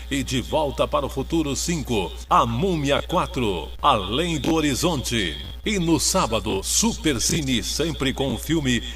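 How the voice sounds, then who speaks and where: There is music in the background as a man talks at a fairly slow pace. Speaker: voice-over announcer. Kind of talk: TV promo voice-over.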